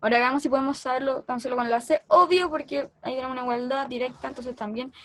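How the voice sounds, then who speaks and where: A woman with a Chilean accent talks at a fairly quick pace. Her voice is high, with fairly even intonation. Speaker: math tutor. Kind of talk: lecture.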